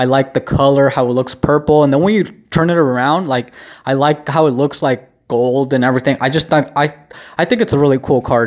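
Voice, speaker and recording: A man with a plain, everyday voice and an American accent, fairly high in pitch with ordinary variation, fairly quick, his loudness very even. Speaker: vlogger and podcaster. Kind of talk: solo video diary, casual chat. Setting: home, recording alone. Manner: rambling, casual, lots of filler words.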